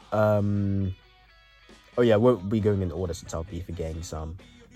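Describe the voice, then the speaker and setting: A quiet man speaks at a very deep, low pitch and a fairly slow pace with fairly even intonation, music in the background. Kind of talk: casual anime review talk to camera.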